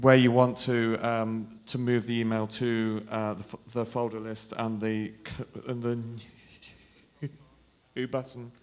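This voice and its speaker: A man speaks at a very slow pace in a medium-pitched voice with monotone, flat intonation, with noticeable background noise behind him. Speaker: conference speaker, software engineer. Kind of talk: tech conference talk. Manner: halting, many fillers.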